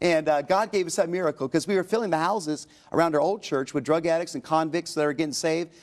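Against a quiet background, a man with a fairly high pitch talks at a very fast pace. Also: ordinary pitch variation. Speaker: pastor and author. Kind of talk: interview testimony. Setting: TV studio. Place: studio. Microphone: lapel.

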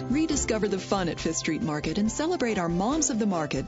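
Over music in the background, a woman talks at a fairly quick pace with very wide pitch swings. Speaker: voice actor. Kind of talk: radio commercial read.

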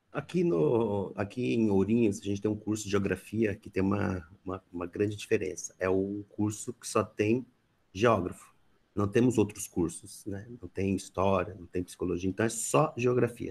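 At a moderate pace, the somewhat breathy voice has ordinary pitch variation and big swings in loudness. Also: man, fairly low pitch for a man. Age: 30s. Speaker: theater educator and researcher. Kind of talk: online talk. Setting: video call. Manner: halting. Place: home room. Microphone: headset.

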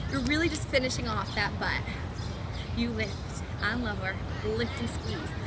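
A woman speaks at a moderate pace, with long, frequent pauses, against loud background noise. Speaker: fitness instructor. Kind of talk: guided workout instruction. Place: garden.

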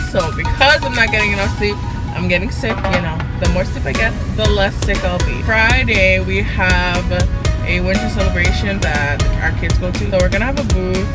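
Over loud music in the background, a woman's voice comes through with a dry sound and no echo. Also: moderate pace. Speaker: vlogger. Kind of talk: casual vlog chat. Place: car. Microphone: phone near.

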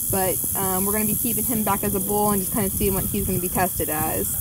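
Over noticeable background noise, a woman talks at a very fast pace, the sound dry with no echo. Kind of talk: casual explanation to a visitor. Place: open country. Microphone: camera far.

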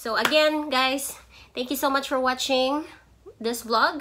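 A woman's high pitch and bright, sharp tone at a fairly slow pace, with fairly even intonation

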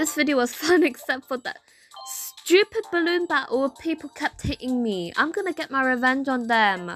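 A woman uses a put-on character voice that is whiny and high-pitched, with very wide pitch swings. She speaks at a moderate pace while faint music plays in the background. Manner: whiny, complaining.

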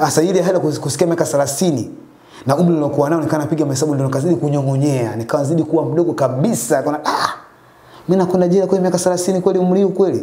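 There's audible room echo as a man talks at a very fast pace with ordinary pitch variation. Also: fairly high pitch for a man. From Dar es Salaam, Tanzania. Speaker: taxi driver; guest. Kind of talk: testimony. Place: home room. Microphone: lapel.

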